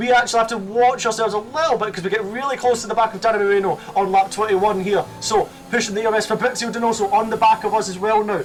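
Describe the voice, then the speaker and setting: A man talks very fast in a high voice, with hardly any pauses. There is noticeable background noise. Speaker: sim racing YouTuber. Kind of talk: race commentary over gameplay. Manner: animated.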